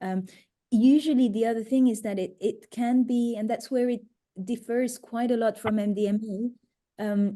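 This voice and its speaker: A woman in a French accent speaks at a fairly high pitch, somewhat breathy with a dark, mellow tone, fairly even intonation and long, frequent pauses. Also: moderate pace. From France. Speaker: psychedelic retreat facilitator. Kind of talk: webinar Q&A.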